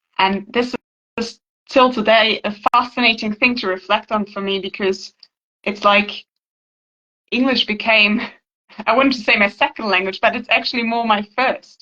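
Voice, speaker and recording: With a German accent, a woman speaks at a moderate pace in a fairly high pitch, her tone bright and sharp and her intonation fairly even, with long, frequent pauses. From Germany. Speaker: healing practitioner, channel owner. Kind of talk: casual interview conversation. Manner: halting, repeats words.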